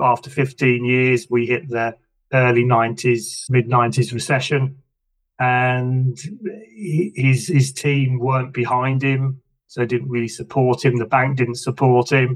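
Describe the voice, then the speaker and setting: With an English accent, a man speaks at a very slow pace, medium pitch and monotone, flat intonation. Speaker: business coach. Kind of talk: interview conversation.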